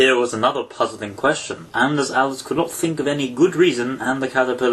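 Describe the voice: The speaker reads aloud plainly, with ordinary pitch variation.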